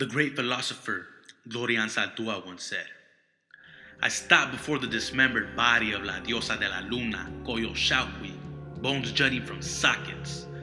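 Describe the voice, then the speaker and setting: A man speaks at medium pitch and a moderate pace. His pitch swings very widely over music in the background. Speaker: spoken word poet. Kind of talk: spoken word poetry performance.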